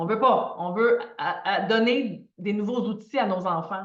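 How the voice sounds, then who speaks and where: A woman with a Quebec accent, fairly high in pitch with lively intonation, at a very slow pace, with audible room echo. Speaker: financial coach. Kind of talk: live online masterclass. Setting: livestream video. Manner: animated.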